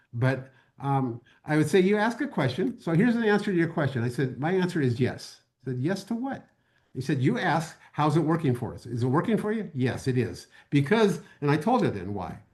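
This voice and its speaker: Somewhat breathy and fairly quick, the voice swings very widely in pitch over a quiet background. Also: man, fairly high pitch for a man. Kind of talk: webinar panel talk. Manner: halting, with frequent fillers and repetitions.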